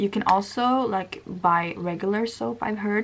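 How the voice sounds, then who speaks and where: A woman in a Swedish accent at a moderate pace. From Sweden. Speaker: beauty vlogger. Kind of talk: makeup tutorial. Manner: casual, many fillers.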